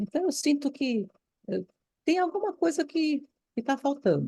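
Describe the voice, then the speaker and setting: At a very slow pace, a woman with a high pitch and a dark, mellow tone makes very wide pitch swings. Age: 70s. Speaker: former Waldorf teacher, course participant. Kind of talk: online course discussion. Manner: animated.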